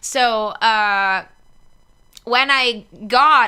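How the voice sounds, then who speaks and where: A woman speaks with an Italian accent in a fairly high pitch, her tone bright and sharp, her pitch varying in an ordinary way, on a very clean recording with a silent background. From northeast Italy. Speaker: singer. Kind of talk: interview chat.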